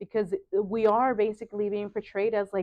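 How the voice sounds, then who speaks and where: At a moderate pace, a woman with a Spanish accent speaks in a medium pitch with fairly even intonation. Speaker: sewing studio owner and designer. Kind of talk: casual interview chat. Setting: sewing studio.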